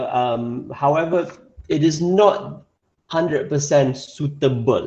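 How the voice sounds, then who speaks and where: In a Malaysian accent, a man with a fairly high pitch and a dark, mellow tone speaks with ordinary pitch variation. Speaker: English teacher. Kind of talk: online class lesson.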